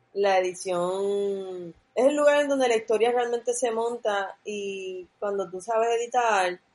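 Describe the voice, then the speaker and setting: A woman's medium-pitched voice at a fairly slow pace, with hardly any pauses and ordinary pitch variation. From Puerto Rico, near Levittown. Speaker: film director. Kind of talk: casual chat. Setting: online call.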